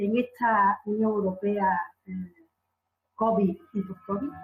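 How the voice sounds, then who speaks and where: Very slowly, a woman speaks in a medium pitch. She leaves long, frequent pauses. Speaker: conference moderator, law academic. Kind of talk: conference panel moderation. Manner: halting, many fillers.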